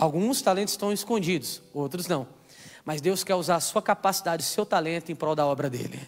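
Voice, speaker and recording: Faint music plays in the background as the speaker moves at a moderate pace with ordinary pitch variation. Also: man. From Brazil. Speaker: preacher. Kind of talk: sermon. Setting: church. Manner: animated; call-and-response, exhorting the crowd. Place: stage. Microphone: handheld.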